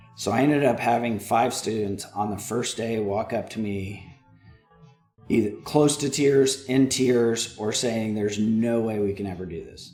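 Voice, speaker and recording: Music plays in the background as a man with an American accent talks at a moderate pace. Audible room echo surrounds his voice. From Texas (Houston/Dallas). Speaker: analytics director and former instructor. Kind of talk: casual chat. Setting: studio.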